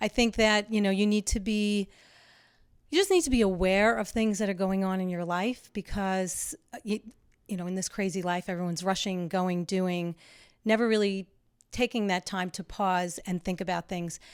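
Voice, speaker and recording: At a moderate pace, a woman with an unremarkable speaking voice talks at medium pitch with fairly even intonation, in a very clean recording with a silent background. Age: 60s. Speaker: landscape designer. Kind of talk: casual chat.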